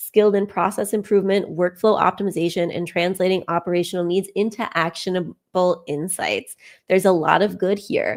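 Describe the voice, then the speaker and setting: Hardly pausing, a woman talks at a fairly quick pace. Her medium-pitched voice stays monotone and flat. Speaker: career coach reviewing resumes. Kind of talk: live resume review. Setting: live stream.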